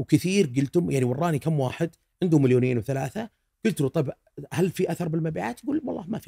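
Over a quiet background, a man talks at a very fast pace with fairly high pitch and lively intonation. His tone is dark and mellow, with vocal fry. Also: big swings in loudness. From Saudi Arabia. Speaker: food blogger; podcast guest, food blogger. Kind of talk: casual chat. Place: studio. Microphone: studio mic.

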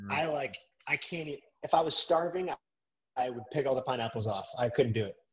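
Against a quiet background, a somewhat breathy man speaks at a very fast pace and fairly high pitch, with lively intonation and long, frequent pauses. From Massachusetts. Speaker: filmmaker and podcaster; podcast guest. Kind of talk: casual interview chat. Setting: video call. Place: home room. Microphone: video call.

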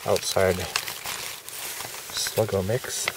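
No echo colors the dry sound. Background noise is noticeable throughout. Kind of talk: casual demonstration chat. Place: garden. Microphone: phone near.

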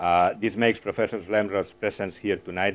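Here a man talks in a fairly low pitch with monotone, flat intonation. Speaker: host giving welcome remarks. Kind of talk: formal welcome speech. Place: hall. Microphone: lapel.

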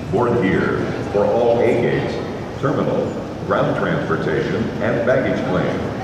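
A man talks at a fairly slow pace with ordinary pitch variation. Loud background noise and audible room echo fill the recording. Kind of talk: public announcement. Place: station.

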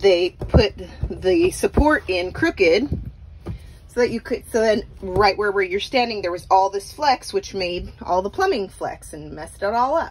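Light background noise accompanies a woman talking at a fairly slow pace. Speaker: vacation rental host. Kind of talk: casual vlog chat. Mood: mildly frustrated, grossed out. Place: bathroom. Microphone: phone near.

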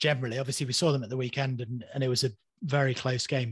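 A man talks very fast in a medium pitch, somewhat breathy. The sound is dry with no echo, over a quiet background. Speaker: podcast host. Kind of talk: casual chat. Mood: relaxed, conversational. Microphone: studio mic.

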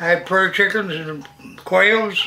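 A man with an American accent speaks in a raised, projected voice at a fairly slow pace. His pitch is high, and his intonation is fairly even. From Missouri, USA. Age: 80s+. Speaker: farmer. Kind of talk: interview answer. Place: kitchen.

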